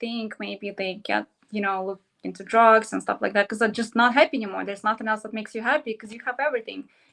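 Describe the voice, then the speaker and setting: A woman with a Russian accent, fairly high in pitch, fairly even in intonation, at a very fast pace. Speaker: model and entrepreneur. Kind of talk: interview.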